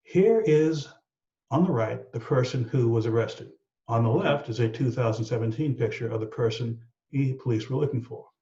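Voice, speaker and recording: A man with an American accent, a dark, mellow, somewhat breathy tone, medium pitch, ordinary pitch variation and a moderate pace. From Texas, San Antonio. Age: 60s. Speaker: aviation safety analyst. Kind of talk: explanatory discussion. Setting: video call.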